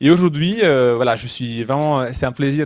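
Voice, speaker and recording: His pitch moves in an ordinary way as the man talks at a moderate pace. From Italy. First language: Italian (speaking French). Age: 30s. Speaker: startup founder. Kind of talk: talk to a young audience. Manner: halting.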